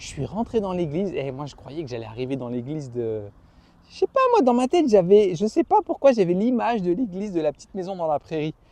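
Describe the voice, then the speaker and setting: Over noticeable background noise, in a dry, close sound with no echo, a man speaks fairly quickly in an animated tone, his high pitch making very wide swings and his loudness shifting in big swings. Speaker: YouTuber, boxing coach. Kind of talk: casual vlog talk to camera.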